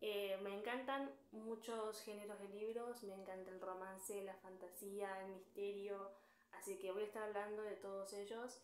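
A woman talks at a fairly slow pace amid audible room echo and light background noise. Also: fairly even intonation. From Argentina. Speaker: book youtuber. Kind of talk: casual talk to camera. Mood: friendly, cheerful. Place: home room. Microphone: phone near.

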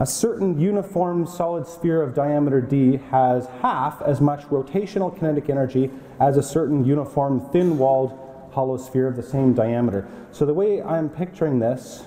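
This man speaks at a moderate pace with ordinary pitch variation. Audible room echo surrounds his voice. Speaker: university physics lecturer. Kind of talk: lecture. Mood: relaxed, joking. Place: hall. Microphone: lapel.

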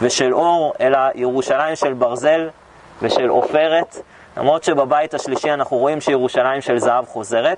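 A man at a fairly slow pace with very even loudness and fairly even intonation, over light background noise. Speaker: tour guide. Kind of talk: guided tour talk. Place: garden.

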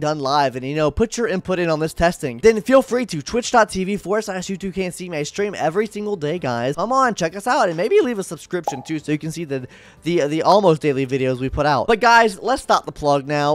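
The speech moves at a fairly quick pace with hardly any pauses and very wide pitch swings. The sound is dry, with no echo. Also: man. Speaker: gaming content creator. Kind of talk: casual gaming tutorial. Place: home room. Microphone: studio mic.

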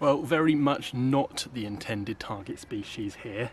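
With light background noise and a dry sound with no echo, a man speaks at a moderate pace, somewhat breathy, with ordinary pitch variation. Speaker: angler vlogger. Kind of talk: casual vlog chat. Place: waterside. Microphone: phone near.

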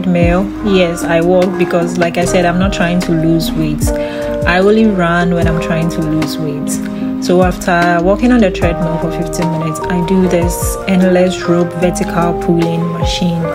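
A woman speaks at a moderate pace. Music plays in the background. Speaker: fitness vlogger. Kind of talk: casual vlog narration.

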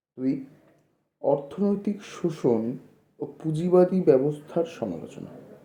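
There is audible room echo as a man with a fairly high pitch and a dark, mellow tone speaks with lively intonation. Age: 20s. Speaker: YouTuber explaining political theory. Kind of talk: lecture.

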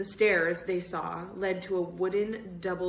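In an unforced reading voice, the intonation runs fairly even.

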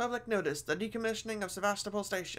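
Intonation holds fairly even. Someone reads aloud in a natural voice.

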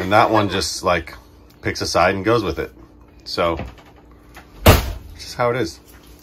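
Noticeable background noise runs through the clip. A man's pitch varies in an ordinary way as he talks at a moderate pace. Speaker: father vlogger. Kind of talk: casual vlog chat. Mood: playful teasing. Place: home room. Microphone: phone near.

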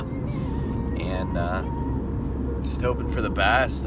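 Loud background noise surrounds a man whose voice sounds dry with no echo. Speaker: hunting vlogger. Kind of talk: casual vlog chat. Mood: upbeat, hopeful. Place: car. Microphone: phone near.

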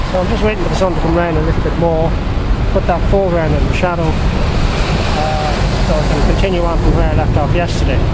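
A man talks at a very fast pace over loud background noise. He takes long, frequent pauses. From Drogheda, Ireland. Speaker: painter. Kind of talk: casual talk while painting outdoors. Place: waterside. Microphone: phone near.

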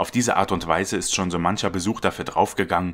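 A man is talking. His pitch is very deep and low. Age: 30s. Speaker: channel narrator and trained voice actor. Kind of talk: scripted narration. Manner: formal.

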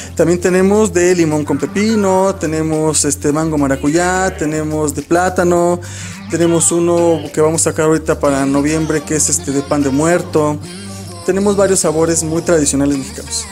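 With clear music in the background, a man speaks at a moderate pace and ordinary pitch variation. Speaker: interviewee. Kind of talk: interview answer. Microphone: handheld.

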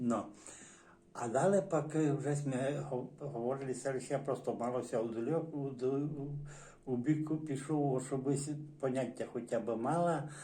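With a Transcarpathian accent, a man speaks fairly slowly at a fairly high pitch and fairly even intonation, amid audible room echo and noticeable background noise. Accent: Transcarpathian Ukrainian dialect. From Zakarpattia, Ukraine (Berehove district village). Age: 60s. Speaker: dialect informant, villager. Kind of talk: oral history interview. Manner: halting, many hesitations and restarts.

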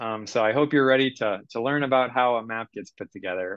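Over a quiet background, a man talks at a moderate pace. His pitch varies in an ordinary way. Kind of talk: presentation. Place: home room.

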